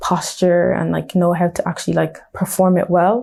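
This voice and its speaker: A woman with a Dublin accent speaks at a fairly slow pace. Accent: Dublin Irish. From Dublin, Ireland (Blanchardstown). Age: 20s. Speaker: nail technician and entrepreneur. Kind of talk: interview. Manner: casual, many fillers.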